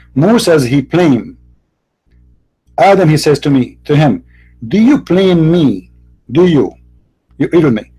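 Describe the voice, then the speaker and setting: Over music in the background, a man with a fairly high pitch talks at a fairly slow pace with very wide pitch swings, very even loudness and long, frequent pauses. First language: not English. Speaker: debater. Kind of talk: heated debate.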